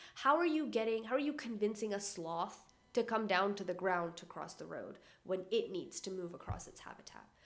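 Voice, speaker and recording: Recorded with audible room echo, a woman at a medium pitch speaks in an animated tone with big swings in loudness and hardly any pauses. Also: lively intonation, moderate pace. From Canada. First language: not English. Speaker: environmental YouTuber. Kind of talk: casual educational vlog.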